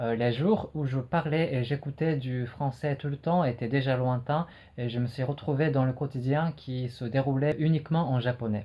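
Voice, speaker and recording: A man with a medium-pitched, somewhat breathy voice talks at a moderate pace with fairly even intonation. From Japan. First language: Japanese (speaking French). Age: 20s. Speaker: French teacher and learner. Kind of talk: personal retrospective monologue. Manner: hesitant with frequent fillers.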